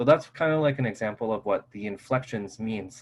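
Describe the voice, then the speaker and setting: This man talks at a medium pitch with ordinary pitch variation. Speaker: instructor. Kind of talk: lecture. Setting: video call. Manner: fast. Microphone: Zoom connection glitches.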